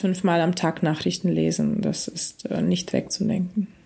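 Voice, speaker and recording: Recorded very cleanly with a silent background, a woman of medium pitch speaks at a fairly slow pace with a dark, mellow tone. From Ukraine (Kyiv), born in Russia. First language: Russian (speaking German). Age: 40s. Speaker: musician. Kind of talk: interview.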